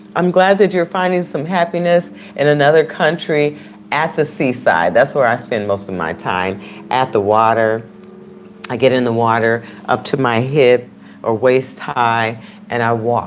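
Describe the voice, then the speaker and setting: Over noticeable background noise, a woman talks at a fairly slow pace, her pitch swinging very widely. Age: 60s. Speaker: YouTube live streamer. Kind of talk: casual livestream chat. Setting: live stream. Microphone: external mic on phone.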